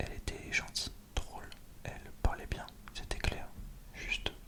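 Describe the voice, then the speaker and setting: A man whispers at a moderate pace. Noticeable background noise can be heard. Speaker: ASMR creator. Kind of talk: read story. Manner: whispered.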